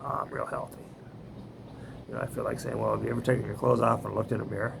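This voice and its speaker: This man talks at a very fast pace. Noticeable background noise can be heard. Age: 70s. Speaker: vlogger. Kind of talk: casual monologue. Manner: halting, many fillers.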